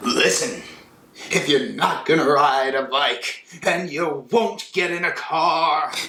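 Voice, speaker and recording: Using a put-on character voice, a man speaks at a fairly slow pace in a high pitch. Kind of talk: parody of shouting cop-show boss. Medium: comedy sketch. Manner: brusque, barking.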